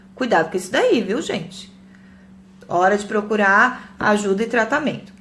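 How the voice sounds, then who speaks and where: Speech at a moderate pace with ordinary pitch variation carries audible room echo. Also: woman. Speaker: psychologist. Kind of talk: live talk to viewers. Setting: Facebook live stream.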